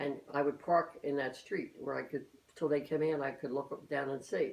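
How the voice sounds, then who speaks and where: Speaking in a Philadelphia accent, a woman talks at a fairly quick pace with a very deep, low pitch and fairly even intonation. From Philadelphia, US. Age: 80s+. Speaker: elderly mother interviewed by her daughter. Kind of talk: family oral-history interview. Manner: halting, many repetitions and false starts.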